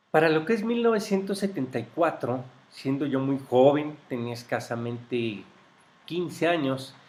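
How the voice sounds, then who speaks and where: A man at a moderate pace with lively intonation. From Mexico, grew up in Mexico City. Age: 50s. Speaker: interviewee recounting life history. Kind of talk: oral history interview. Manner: hesitant, with fillers.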